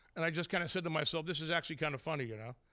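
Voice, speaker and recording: An animated man's fairly high voice, bright and sharp in tone, on a very clean recording with a silent background. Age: 40s. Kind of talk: interview with stand-up bits. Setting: studio with live audience.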